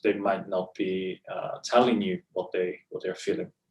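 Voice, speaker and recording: Speaking with an Italian accent, a man talks at a moderate pace. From Italy. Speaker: clinical psychologist in training. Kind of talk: interview answer.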